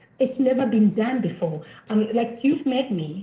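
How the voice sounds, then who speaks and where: Over noticeable background noise, a woman speaks at a moderate pace in a fairly high pitch with very wide pitch swings. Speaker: caller. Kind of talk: call-in comment. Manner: quiet.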